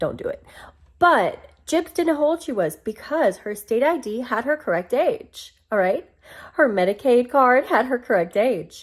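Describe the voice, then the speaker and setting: An American woman speaks at a moderate pace with a high pitch and an animated tone. Her pitch swings very widely, and her loudness rises and falls sharply. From US South. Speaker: commentary vlogger. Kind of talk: casual commentary monologue.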